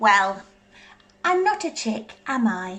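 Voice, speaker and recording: A put-on character voice, female-sounding and fairly high in pitch. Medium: read story. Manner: exasperated.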